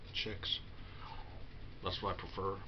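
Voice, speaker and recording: A man talks in a monotone, flat voice at a very deep, low pitch. Noticeable background noise can be heard. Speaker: vlogger. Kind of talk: casual confessional vlog talk. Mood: low, self-deprecating. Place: home room. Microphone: webcam.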